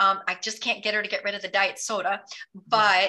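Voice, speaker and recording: At a fairly slow pace, a woman speaks in an unremarkable speaking voice, her pitch fairly high. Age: 50s. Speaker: intermittent fasting advocate. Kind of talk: casual chat. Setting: call.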